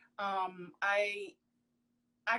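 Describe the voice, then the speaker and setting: An animated tone from a woman. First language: Haitian Creole/French. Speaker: professional model. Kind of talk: interview. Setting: Instagram live video call.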